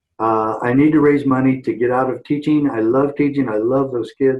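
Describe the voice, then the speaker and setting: With hardly any pauses, a man talks in an ordinary speaking voice with fairly even intonation. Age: 60s. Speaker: former sheriff and activist. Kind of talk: interview.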